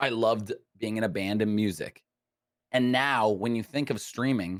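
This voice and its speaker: A man speaks at a moderate pace in an animated tone with a medium pitch. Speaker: streamer. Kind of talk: casual chat. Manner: loud.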